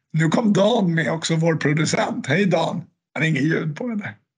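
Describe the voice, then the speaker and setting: A man talks at a moderate pace with a high pitch. His pitch variation is ordinary. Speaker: podcast host. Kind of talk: casual interview.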